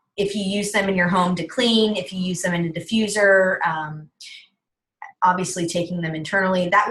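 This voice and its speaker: In an ordinary speaking voice, a woman with a fairly low pitch and fairly even intonation goes at a moderate pace. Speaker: essential oils wellness guide. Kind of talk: online presentation webinar. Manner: casual with many fillers.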